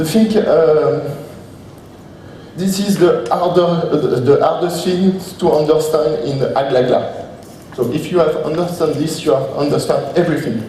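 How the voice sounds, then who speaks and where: A man in a French accent at a fairly slow pace with ordinary pitch variation, audible room echo and light background noise. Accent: French accent, non-native English. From France. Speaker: software trainer presenting a plugin. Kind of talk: conference presentation with live demo. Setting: conference stage with audience. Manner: halting, many hesitations and repetitions. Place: hall. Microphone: camera far.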